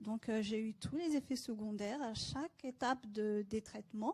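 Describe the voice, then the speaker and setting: The voice has a dark, mellow tone, somewhat breathy, at a moderate pace. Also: woman. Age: 30s. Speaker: cancer patient. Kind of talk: testimony.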